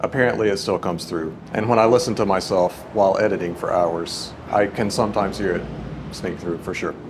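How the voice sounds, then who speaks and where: Noticeable background noise and audible room echo come with a man's fairly low voice. He talks at a fairly quick pace with fairly even intonation. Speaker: composer and organist, YouTuber. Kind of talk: casual chat. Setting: church.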